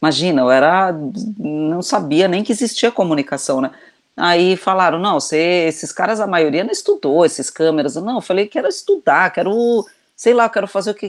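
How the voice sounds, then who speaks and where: At a medium pitch, a woman delivers her words fairly quickly. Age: 50s. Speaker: video director and children's author. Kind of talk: casual chat. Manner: halting, many repetitions.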